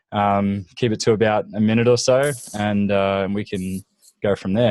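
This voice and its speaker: A man's fairly low-pitched voice with a slight Australian accent and fairly even intonation. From Australia, Gold Coast. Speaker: business mastermind group organizer. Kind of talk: casual group video call.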